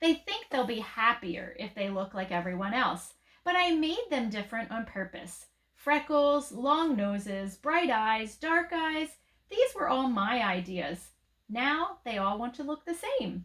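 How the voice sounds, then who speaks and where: A put-on character voice at a fairly slow pace, with very wide pitch swings. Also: woman, high pitch for a woman. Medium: read story. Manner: gentle, warm.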